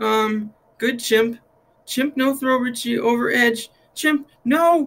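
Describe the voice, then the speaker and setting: A female-sounding put-on character voice sits high in pitch. It moves at a very slow pace. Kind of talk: read-aloud storytelling. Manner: pleading, broken, halting.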